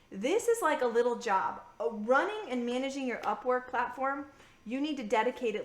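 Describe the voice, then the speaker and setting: A woman's high-pitched, animated voice at a fairly quick pace, with ordinary pitch variation and noticeable background noise. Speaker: freelance business coach. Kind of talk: recorded live masterclass. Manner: fast.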